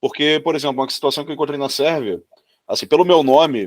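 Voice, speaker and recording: Recorded very cleanly against a silent background with a dry, close sound and no echo, a man speaks at a very fast pace and a fairly high pitch. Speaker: podcast co-host. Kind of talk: podcast interview.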